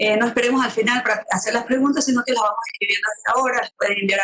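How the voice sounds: Her tone is bright and sharp, and the woman keeps her intonation fairly even.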